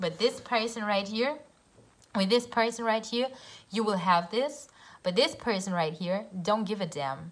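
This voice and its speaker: Speaking with a German accent, a woman uses a fairly high pitch and lively intonation. Her pace is fairly slow. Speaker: tarot reader. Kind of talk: tarot reading. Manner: halting.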